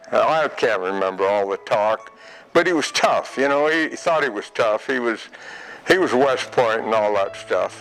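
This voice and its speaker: A man's voice at a moderate pace, with music in the background. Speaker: World War II veteran. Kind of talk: interview answer.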